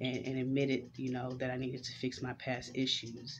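Noticeable background noise accompanies a voice with an American accent speaking at a moderate pace in a monotone, flat way. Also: woman. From Houston, Texas (Fifth Ward). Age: 30s. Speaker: vlogger and entrepreneur. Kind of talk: casual vlog monologue. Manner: halting, many fillers. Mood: warm, reflective, smiling. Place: home room. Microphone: webcam.

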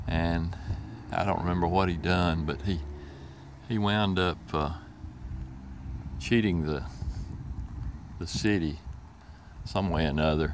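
A man speaks with a very deep, low pitch at a fairly slow pace, leaving long, frequent pauses. His intonation is fairly even over light background noise. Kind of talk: casual vlog commentary. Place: open country. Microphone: phone near.

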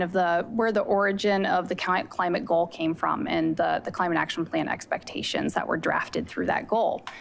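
A woman with a normal speaking voice talks at a moderate pace with lively intonation over light background noise. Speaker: city climate and natural resources manager. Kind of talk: staff presentation to city council. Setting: council chambers, also streamed by video conference. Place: hall. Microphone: podium.

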